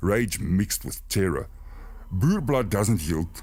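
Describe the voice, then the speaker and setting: In a calm tone, a man speaks at a fairly slow pace with vocal fry and very wide pitch swings. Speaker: narrator. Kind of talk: horror story narration for sleep. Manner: steady, calm.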